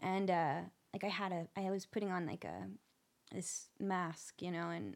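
This woman's voice sits at a medium pitch. Vocal fry runs through it. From Nashville, Tennessee. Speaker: singer-songwriter. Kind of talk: casual interview chat.

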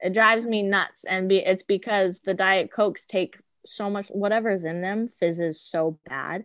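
A normal speaking voice from a woman at medium pitch, moderate in pace with hardly any pauses and fairly even intonation, in a dry, close sound with no echo. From Arizona, US. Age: 20s. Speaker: flight attendant. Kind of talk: interview.

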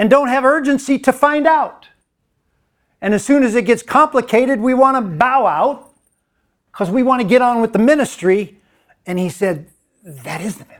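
Using an extremely high pitch, a man speaks at a moderate pace with lively intonation, big swings in loudness, and long, frequent pauses. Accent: American. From US, Mennonite community. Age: 60s. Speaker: discipleship school director and adjunct professor. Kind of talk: conference talk. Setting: conference session with audience.

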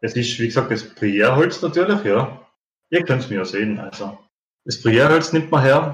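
In a Tyrolean accent, a man of medium pitch speaks at a moderate pace, somewhat breathy and with lively intonation. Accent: Tyrolean Austrian German. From Austria, Tyrol. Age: 30s. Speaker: pipe maker. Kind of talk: interview.

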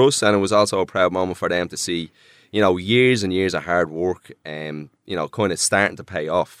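On a very clean recording with a silent background and a dry, close sound without echo, a man with a very deep, low voice and an Irish accent talks at a fairly quick pace with ordinary pitch variation. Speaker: DJ and producer. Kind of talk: casual interview chat.

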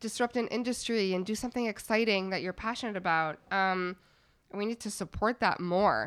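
A woman with a Canadian accent, a plain, everyday voice, medium pitch, ordinary pitch variation and a moderate pace, on a very clean recording with a silent background. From Montreal, Canada. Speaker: venture capital investor. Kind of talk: interview.

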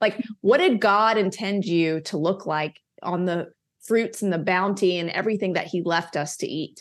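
A woman with an American accent has a normal speaking voice at a medium pitch with ordinary pitch variation. She talks at a moderate pace on a very clean recording with a silent background. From US South. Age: 40s. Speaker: wellness advocate and author. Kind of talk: interview.

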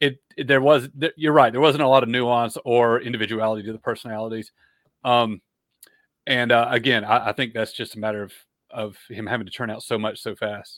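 In a very clean recording with a silent background, a man with an unremarkable speaking voice talks at a fairly quick pace, at medium pitch, with fairly even intonation. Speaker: video producer and fantasy author. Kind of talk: casual chat.

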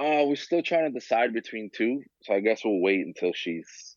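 In a New York accent, a man speaks at a moderate pace with a fairly low pitch and very wide pitch swings. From New York, Queens. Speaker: figure photographer and DJ. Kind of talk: casual chat.

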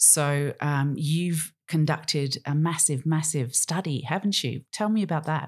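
With an Australian accent, a woman with a very deep, low pitch and ordinary pitch variation speaks at a fairly slow pace with hardly any pauses and very even loudness on a very clean recording with a silent background. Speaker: podcast host, marina owner. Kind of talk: interview conversation.

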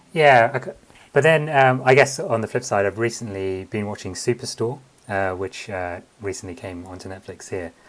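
A man with a London accent speaks at a moderate pace in a fairly low voice. His intonation is lively and his loudness swings widely. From London, England. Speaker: comedian and writer. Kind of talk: interview.

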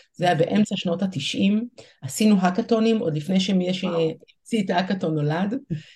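Her voice is somewhat breathy, with a dark, mellow tone and a medium pitch. The woman speaks at a moderate pace with ordinary pitch variation. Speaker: startup CEO and organizational consultant. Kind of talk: interview with live workshop.

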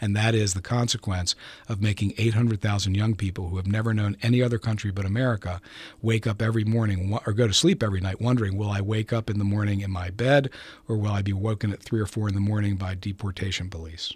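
A man talks at a very fast pace in a fairly low, somewhat breathy voice. His intonation stays fairly even. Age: 60s. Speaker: lawyer. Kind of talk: interview discussion.

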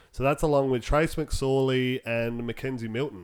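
A man's medium-pitched voice with an Australian accent. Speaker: podcast co-host. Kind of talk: casual chat.

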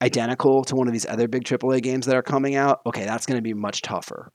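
Dry and close with no echo, a man with a normal speaking voice talks at a medium pitch with fairly even intonation. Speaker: guest, PR professional. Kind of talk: casual podcast chat.

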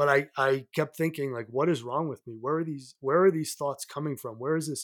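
A man speaks in an ordinary speaking voice, fairly high in pitch, with fairly even intonation. The recording is very clean, with a silent background. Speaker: mental health advocate, former finance worker. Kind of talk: personal testimony in interview.

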